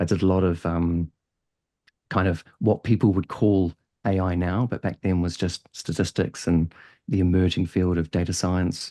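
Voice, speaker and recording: A man's very deep, low voice with a slight New Zealand accent, dark and mellow, monotone and flat at a moderate pace, with a dry, close sound with no echo and a quiet background. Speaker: head of data and analytics. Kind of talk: podcast interview. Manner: hesitant, many fillers.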